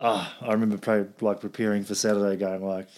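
A man with a New Zealand accent speaks at a fairly quick pace in a fairly low voice. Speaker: podcast host. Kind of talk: casual chat.

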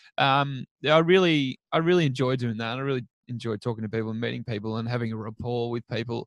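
With an Australian accent, a man speaks at a very fast pace with hardly any pauses. His pitch is medium with ordinary variation, and the sound is dry and close with no echo. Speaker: children's TV presenter. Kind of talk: casual chat. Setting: remote call.

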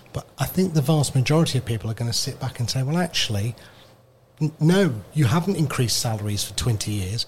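A somewhat breathy man at medium pitch, with lively intonation and a fairly quick pace. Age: 50s. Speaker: radio presenter. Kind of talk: casual chat. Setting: radio studio.

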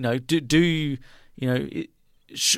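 This man has a fairly high voice. His pitch varies in an ordinary way. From Australia. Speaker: sports radio host. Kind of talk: casual sports chat. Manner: halting, filler-heavy.

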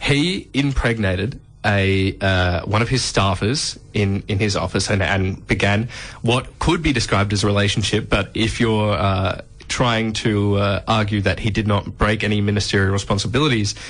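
The voice carries an Australian accent with ordinary pitch variation. Its loudness stays very even. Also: man. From Adelaide, South Australia. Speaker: radio host. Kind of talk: casual radio banter.

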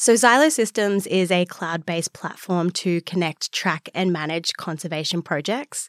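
The speaker has an Australian accent, a moderate pace, ordinary pitch variation and hardly any pauses. The sound is dry and close with no echo, in a very clean recording with a silent background. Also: woman, fairly low pitch for a woman. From Australia, Newcastle NSW. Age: young. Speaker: wildlife scientist and startup founder. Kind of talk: interview.

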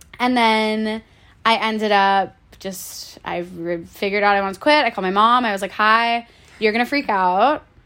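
With an American accent, a woman speaks at a moderate pace in an ordinary speaking voice. Her pitch is fairly high, with ordinary pitch variation. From Florida, US. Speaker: self-care through movement advocate. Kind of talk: casual chat.

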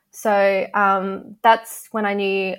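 A woman with an Australian accent speaks at medium pitch with fairly even intonation. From Adelaide, South Australia. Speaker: sports social media manager. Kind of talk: interview. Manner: hesitant, many fillers.

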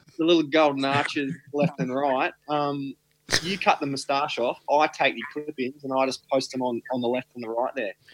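A man with an Australian accent at a moderate pace, fairly high in pitch and fairly even in intonation, in a dry, close sound with no echo. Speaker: podcast co-host. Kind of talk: casual chat. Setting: video call.

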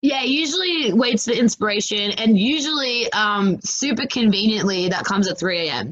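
An energetic woman with an Australian accent speaks at a moderate pace, her fairly high voice carried by lively intonation. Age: 20s. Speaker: comedian and activist. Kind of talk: interview conversation.

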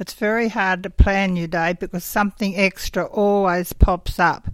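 A woman speaks in an Australian accent at a medium pitch and a moderate pace. Her intonation is monotone and flat, on a very clean recording with a silent background. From southern New South Wales, Australia. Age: 80s+. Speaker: sheep farmer. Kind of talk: interview.

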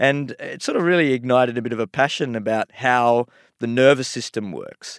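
A man with a plain, everyday voice at medium pitch, ordinary pitch variation and big swings in loudness, at a moderate pace against a quiet background. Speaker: medical researcher. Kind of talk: interview.

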